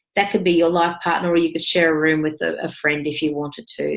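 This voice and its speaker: Against a quiet background, a woman speaks at a fairly low pitch. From New South Wales, Australia. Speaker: property investment mentor. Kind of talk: webinar presentation with sales pitch. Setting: online webinar. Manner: casual, with frequent fillers.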